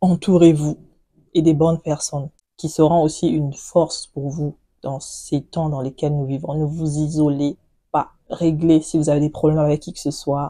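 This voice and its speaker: A woman's very deep, low voice carries a dark, mellow tone and monotone, flat intonation. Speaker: beauty and lifestyle vlogger. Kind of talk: casual chat to camera.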